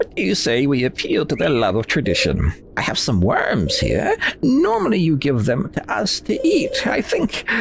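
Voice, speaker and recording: Over clear background noise, a man uses a put-on character voice at a fairly high pitch and a moderate pace. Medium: game stream. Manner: smooth, persuasive.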